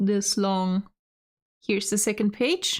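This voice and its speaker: Very slow speech comes from a woman with a German accent on a very clean recording with a silent background. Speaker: vtuber streamer. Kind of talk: casual live stream chat. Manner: halting.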